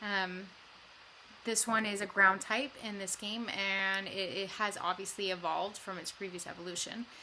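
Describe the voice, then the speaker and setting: Her medium-pitched voice has a bright, sharp tone. This woman keeps a moderate pace with monotone, flat intonation. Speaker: gaming YouTuber. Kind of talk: gameplay commentary. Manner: hesitant, many fillers.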